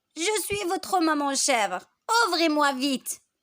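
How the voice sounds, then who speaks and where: Putting on a gruff character voice, a woman talks at a high pitch and a fairly slow pace. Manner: deceptive.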